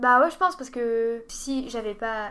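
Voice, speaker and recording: Her voice sits fairly high for a woman, with ordinary pitch variation. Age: 20s. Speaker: dietetics student. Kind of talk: casual chat.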